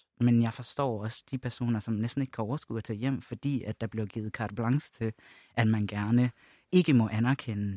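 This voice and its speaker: A man's medium-pitched voice, dark and mellow in tone with fairly even intonation, in a very clean recording with a silent background and a dry, close sound with no echo. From Jutland, Denmark. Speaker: LGBT+ organisation project leader. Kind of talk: podcast panel discussion. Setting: studio.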